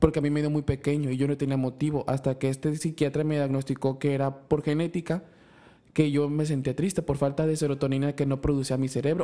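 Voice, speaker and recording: A man speaks at a very fast pace in a dark, mellow tone. His intonation is monotone and flat. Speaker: podcast host. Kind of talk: casual chat.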